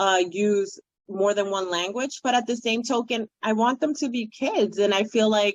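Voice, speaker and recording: This woman has a Spanish accent and a fairly high pitch with ordinary variation. She speaks at a moderate pace. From Dominican Republic, raised in New York City. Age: 40s. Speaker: children's book author. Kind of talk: interview conversation.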